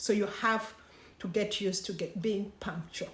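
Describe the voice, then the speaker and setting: A woman's somewhat breathy voice moves at a moderate speed. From Uganda. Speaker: vlogger. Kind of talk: casual explainer vlog.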